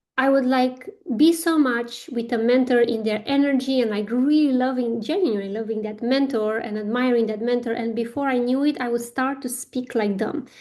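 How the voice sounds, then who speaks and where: A woman with a non-native accent and a high pitch talks at a moderate pace with ordinary pitch variation and hardly any pauses. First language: not English. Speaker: spiritual business coach. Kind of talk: guided workshop talk. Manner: hesitant, many fillers.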